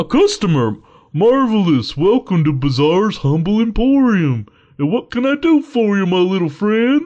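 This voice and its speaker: A man puts on a character voice, high in pitch, at a moderate pace. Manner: cheery, welcoming.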